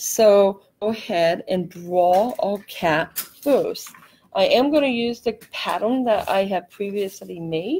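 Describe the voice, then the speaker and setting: Using a normal speaking voice, a woman talks at a fairly slow pace and medium pitch, her intonation lively. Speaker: craft tutorial host. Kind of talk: live craft tutorial. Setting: live stream. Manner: casual, chatty.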